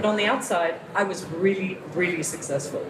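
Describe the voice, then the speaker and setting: Fairly quick and fairly low in pitch, a woman speaks with an American accent amid noticeable background noise and audible room echo. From international upbringing (Asia, Europe, New York). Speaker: motivational speaker and author. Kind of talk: workshop talk. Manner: casual, conversational with many fillers. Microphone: poor audio from backup recording.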